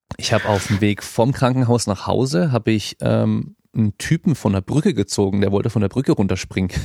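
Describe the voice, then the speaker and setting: A man speaks with vocal fry, ordinary pitch variation, and very even loudness. The recording is very clean with a silent background, and the sound is dry and close with no echo. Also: fairly low pitch for a man, fairly quick pace, hardly any pauses. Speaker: fitness podcast host. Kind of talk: casual podcast interview. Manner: casual, many filler words.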